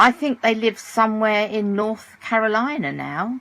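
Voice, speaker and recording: Speaking at a fairly slow pace, a woman with a British accent has a bright, sharp tone. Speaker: audiobook narrator. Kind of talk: audiobook reading.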